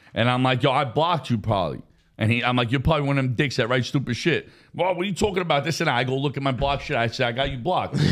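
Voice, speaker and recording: At a very fast pace, a man speaks in a medium pitch with ordinary pitch variation and very even loudness. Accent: American. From New York, Brooklyn and Queens. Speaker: social media personality. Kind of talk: casual podcast chat. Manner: animated.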